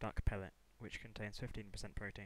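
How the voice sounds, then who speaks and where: A man's voice with monotone, flat intonation. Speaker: college student. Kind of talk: class presentation.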